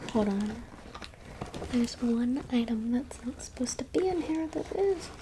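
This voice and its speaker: Soft-spoken woman with a high pitch and moderate pace, over noticeable background noise. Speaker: college student. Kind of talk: ASMR show-and-tell.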